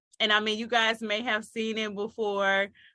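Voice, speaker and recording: A loud woman's voice, fairly high in pitch, with a bright, sharp tone. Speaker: marketing coach for authors. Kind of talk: online training talk. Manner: casual, playful.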